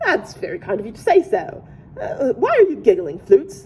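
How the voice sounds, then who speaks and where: A woman puts on a character voice pitched extremely high. She keeps a moderate pace. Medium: read story. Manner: dramatic, gullible.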